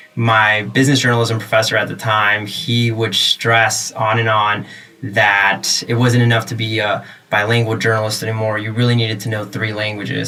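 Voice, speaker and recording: The speaker has an American accent and a monotone, flat intonation. The pace is moderate, and room echo can be heard. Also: man. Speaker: tech journalist. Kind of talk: podcast interview. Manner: many fillers and hesitations.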